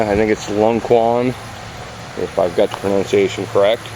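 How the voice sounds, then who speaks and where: A man with a strong Midwestern US accent speaks at a moderate pace and medium pitch. His intonation is monotone and flat, with noticeable background noise behind him. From Oklahoma. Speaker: YouTuber, sword collector. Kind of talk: unboxing review. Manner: casual, hesitant with fillers.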